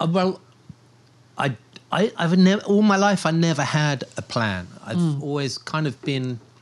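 With a southern English accent, a man talks at a moderate pace, his pitch swinging very widely. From southern England, Portsmouth. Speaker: storm and volcano chaser, news videographer. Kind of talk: casual interview.

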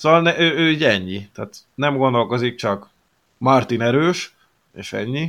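Using a plain, everyday voice, a man speaks fairly slowly at a medium pitch with lively intonation and big swings in loudness, in a very clean recording with a silent background. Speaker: hockey podcast co-host. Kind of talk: casual chat.

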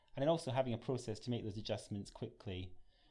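A man speaks with a Scottish accent at a fairly quick pace. His tone is dark and mellow. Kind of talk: professional, conversational.

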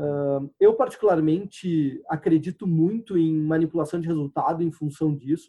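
An ordinary speaking voice, a man's with a fairly high pitch, moves at a moderate pace with hardly any pauses and ordinary pitch variation. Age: 30s. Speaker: sports crowdfunding entrepreneur. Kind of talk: interview. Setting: video call.

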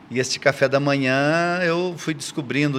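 The speaker has a normal speaking voice. Pitch varies in an ordinary way. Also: man. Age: 60s. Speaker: church elder and mentor. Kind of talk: casual chat.

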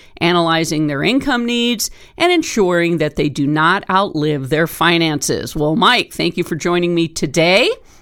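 With an ordinary speaking voice, a woman talks at a moderate pace in a fairly low pitch, her intonation lively. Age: 50s. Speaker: radio talk show host. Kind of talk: scripted narration; interview.

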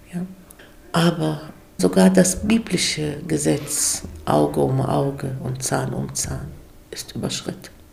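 With long, frequent pauses, a woman talks very slowly while noticeable background noise plays underneath. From Germany. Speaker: guest speaker. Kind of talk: interview.

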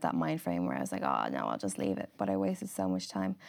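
Someone with an Irish accent speaks at a very fast pace on a very clean recording with a silent background. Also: woman. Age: 20s. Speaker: model and influencer. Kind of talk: casual interview.

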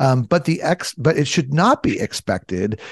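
A man with an American accent speaks with vocal fry and very wide pitch swings. The sound is dry and close with no echo. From US, Southern California. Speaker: naturopathic physician. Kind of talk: interview.

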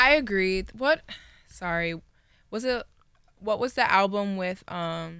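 A woman with an American accent speaks at a very slow pace with long, frequent pauses, her medium pitch bright and sharp in tone. Her intonation is lively, and the recording is very clean with a silent background. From Washington, D.C. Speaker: student music journalist. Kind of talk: casual chat.

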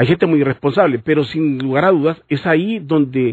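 A man talks at a fairly quick pace with an unremarkable speaking voice. His pitch sits fairly high and varies in an ordinary way. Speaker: radio host. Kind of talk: radio talk show.

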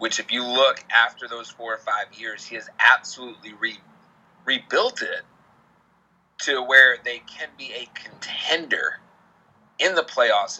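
The pace here is fairly slow. The speaker is a man with an American accent. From Boston area, Massachusetts. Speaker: sports betting podcaster. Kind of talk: casual chat.

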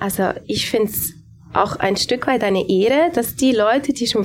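A woman talks at a fairly slow pace with fairly high pitch and lively intonation over noticeable background noise. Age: 30s. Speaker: pastor. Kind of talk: panel discussion. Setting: live audience in a café.

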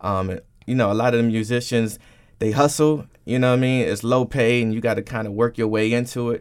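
A man in a plain, everyday voice, medium pitch and fairly even intonation, at a fairly quick pace on a very clean recording with a silent background. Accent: American. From Washington, D.C. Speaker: radio DJ and on-air personality. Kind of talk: radio interview.

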